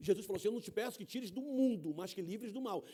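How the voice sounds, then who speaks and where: A man's high-pitched, animated voice at a very fast pace. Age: 60s. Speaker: guest preacher. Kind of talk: sermon. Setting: church.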